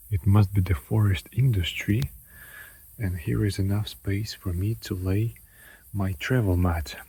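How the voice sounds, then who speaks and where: In a very clean recording with a silent background, a man speaks at a very slow pace, his somewhat breathy, fairly low voice dark and mellow in tone. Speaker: travel vlogger. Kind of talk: casual travel vlog.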